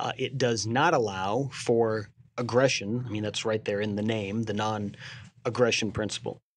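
Against a quiet background, a man with an ordinary speaking voice talks at a moderate pace, his fairly low pitch following fairly even intonation. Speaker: co-host, theology commentator. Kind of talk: casual chat.

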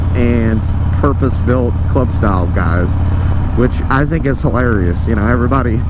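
Heard dry with no echo and with noticeable background noise, a man speaks at a moderate pace. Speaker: motorcycle vlogger. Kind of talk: casual vlog chat. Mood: relaxed, amused. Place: motorbike. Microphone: helmet.

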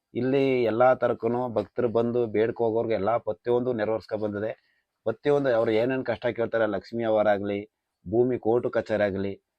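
Flat and monotone in intonation, a man's voice stays at a medium pitch. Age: 30s. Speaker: temple oracle. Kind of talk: explanation to camera.

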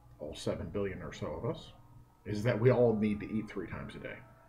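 Lively intonation carries the speech. The pace is fairly quick. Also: man. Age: 50s. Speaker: economist. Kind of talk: direct-to-camera talk. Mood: earnest, concerned. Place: office. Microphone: earbuds.

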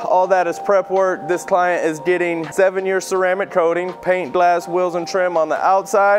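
Faint music plays in the background as a man speaks at a moderate pace. His pitch is high. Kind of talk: casual vlog shop tour. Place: garage.

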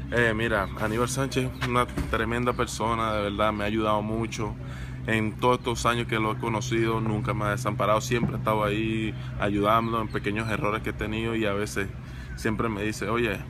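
A man talks at a fairly quick pace and a fairly low pitch. Noticeable background noise sits behind him. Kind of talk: interview answer. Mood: warm, grateful. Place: stadium. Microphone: phone near.

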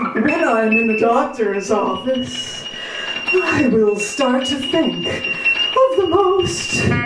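A woman speaks at a very slow pace. The room echoes audibly, and the background noise is loud. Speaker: spoken word performer. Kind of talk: spoken word performance over experimental music. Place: studio.

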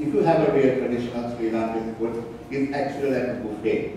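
A man's voice at a moderate pace with fairly even intonation, strong room echo and light background noise. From Sri Lanka. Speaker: chef. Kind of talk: cooking demonstration. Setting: stage with audience. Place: stage.

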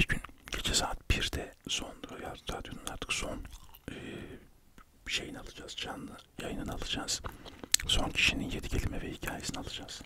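A man whispering, with long, frequent pauses and big swings in loudness. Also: moderate pace. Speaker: radio show host and poet/writer. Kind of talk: ASMR chat about his life, whispered, chewing gum. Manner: whispered, soft, chatty. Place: home room. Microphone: studio mic.

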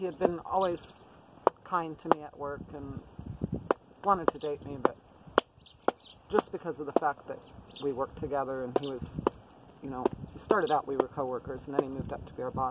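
A woman talks at a fairly quick pace with ordinary pitch variation. Loud background noise sits behind a dry sound with no echo. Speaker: prepper vlogger. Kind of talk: casual vlog chat. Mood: relaxed, reflective. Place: tent.

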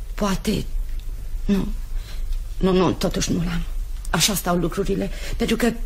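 Amid light background noise, a woman speaks fairly slowly and fairly evenly, leaving long, frequent pauses. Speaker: radio drama actress. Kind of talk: radio drama. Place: studio.

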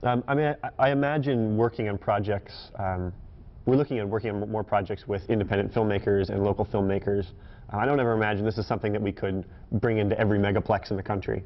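At a very fast pace, a man talks at a fairly low pitch with fairly even intonation. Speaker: guest. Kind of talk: interview answer. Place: studio.

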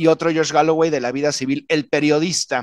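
An unremarkable speaking voice from a man, fairly high in pitch, at a moderate pace, dry with no echo against a quiet background. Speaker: political commentator. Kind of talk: panel discussion. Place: home room. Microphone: studio mic.

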